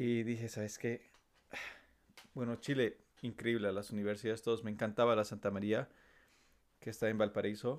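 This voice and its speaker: A man at medium pitch, monotone, flat intonation and a moderate pace with long, frequent pauses. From La Paz, Bolivia. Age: 20s. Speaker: civil engineer. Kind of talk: casual chat.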